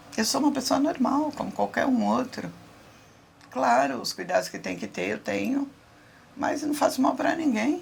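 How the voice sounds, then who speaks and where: Against noticeable background noise, a woman talks at a moderate pace with long, frequent pauses. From interior of São Paulo state, Brazil. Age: 60s. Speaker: interviewee sharing life story. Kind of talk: personal testimony interview.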